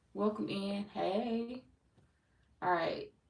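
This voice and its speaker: In an American accent, a woman speaks at a medium pitch with ordinary pitch variation. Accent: sounds country, people often remark. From St. Louis, Missouri. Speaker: tarot reader. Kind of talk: live stream chat with viewers. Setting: live stream. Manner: casual, animated.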